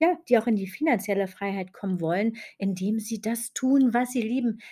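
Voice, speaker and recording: A woman speaks at a medium pitch with a dark, mellow tone and a somewhat breathy quality. Her pitch varies in an ordinary way. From Germany, West Berlin. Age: 40s. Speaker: podcast host and business mentor. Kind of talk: podcast monologue.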